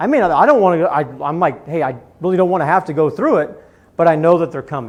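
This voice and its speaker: A man speaks at a fairly quick pace in an American accent. His pitch is high and his intonation lively. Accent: Missouri accent, comes out sometimes. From Missouri. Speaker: business executive and speaker. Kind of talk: Q&A answer at a talk.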